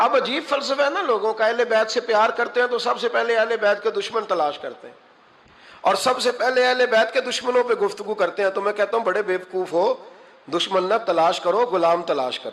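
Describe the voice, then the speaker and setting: The speaker is a man with a high voice. His pitch variation is ordinary. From Pakistan. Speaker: Islamic scholar and preacher. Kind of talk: religious sermon.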